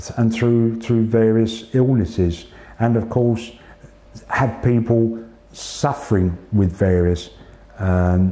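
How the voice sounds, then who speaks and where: With a British accent, a man speaks at a medium pitch and a very slow pace, with fairly even intonation, very even loudness, and long, frequent pauses. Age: 60s. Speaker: cancer patient. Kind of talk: interview. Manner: halting.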